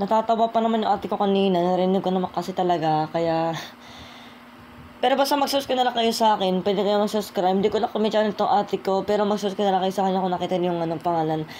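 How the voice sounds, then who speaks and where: Her tone dark and mellow, a woman speaks at a very fast pace with very even loudness. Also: medium pitch for a woman, ordinary pitch variation. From Philippines. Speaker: YouTuber rapper. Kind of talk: casual vlog talk.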